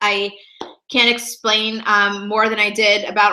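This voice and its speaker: The speaker is a woman with a medium pitch. Her tone is bright and sharp. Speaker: professional organizer. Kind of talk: sales pitch. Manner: fast; animated.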